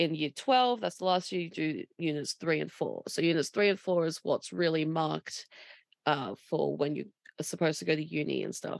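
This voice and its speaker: Here a woman talks with an Australian accent. The sound is dry and close, without echo. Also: moderate pace. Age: 20s. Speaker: podcast co-host. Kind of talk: casual chat. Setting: remote recording.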